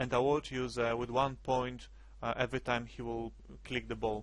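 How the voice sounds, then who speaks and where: A man talks at a moderate pace. He speaks with a non-native accent. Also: quiet background. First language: not English. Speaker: game development tutorial creator. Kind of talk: screencast tutorial. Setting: screen recording at computer. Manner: hesitant, many fillers.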